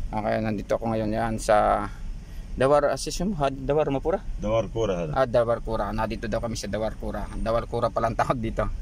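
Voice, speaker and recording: A man at a very fast pace, dry sound with no echo, light background noise. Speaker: vlogger. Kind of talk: casual vlog chat. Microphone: phone near.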